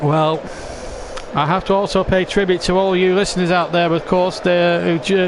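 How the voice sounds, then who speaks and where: A man speaks with a Lancashire accent in a high, flat monotone. There is noticeable background noise. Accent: northern English (Lancashire). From England. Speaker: football commentator. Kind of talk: live commentary.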